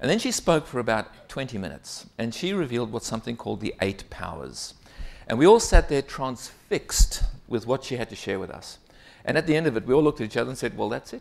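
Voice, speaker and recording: The voice moves at a very fast pace with big swings in loudness on a very clean recording with a silent background. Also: man. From South Africa. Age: 50s. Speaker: keynote speaker. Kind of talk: conference keynote. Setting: stage with audience. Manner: animated.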